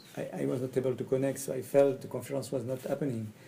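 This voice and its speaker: Somewhat breathy and dark, mellow in tone, the voice races at a very fast pace in a French accent with monotone, flat intonation. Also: man. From France. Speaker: communication trainer. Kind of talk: personal presentation video. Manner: halting, hesitant in English.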